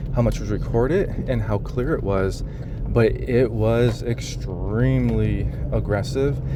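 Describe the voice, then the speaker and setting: Noticeable background noise and audible echo from the room accompany a man's speech. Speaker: vlogger documenting personal experience. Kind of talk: personal video diary. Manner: halting.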